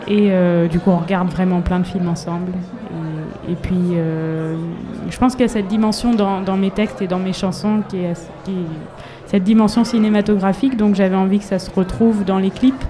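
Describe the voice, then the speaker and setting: Over noticeable background noise and audible room echo, a woman at a medium pitch talks at a moderate pace with fairly even intonation. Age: 30s. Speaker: singer-songwriter. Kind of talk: interview. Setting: live in front of an audience. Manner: halting.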